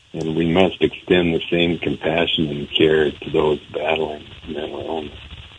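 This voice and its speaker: Against noticeable background noise, a speaker with an American accent talks at a fairly slow pace in monotone, flat intonation. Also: man, very deep, low pitch for a man. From eastern Montana. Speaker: country singer and mental health advocate. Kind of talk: radio interview.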